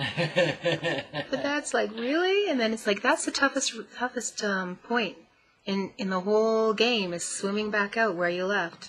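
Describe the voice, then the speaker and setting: Her voice a plain, everyday voice, a woman speaks at a fairly slow pace with a fairly high pitch and lively intonation. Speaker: guest, mentor. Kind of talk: interview answer.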